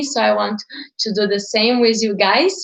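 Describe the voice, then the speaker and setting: In a Portuguese accent, a woman talks with fairly even intonation. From Brazil. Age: 20s. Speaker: digital entrepreneur. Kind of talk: live stream talk.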